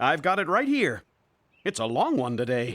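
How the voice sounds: A cartoonish character voice at a low-to-middle pitch and moderate pace, in a very clean recording with a silent background.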